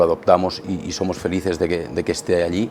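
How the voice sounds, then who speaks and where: A man's very deep, low voice, very fast and monotone with flat intonation, over noticeable background noise. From Catalonia, Spain. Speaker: politician. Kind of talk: radio interview. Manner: halting, many repetitions.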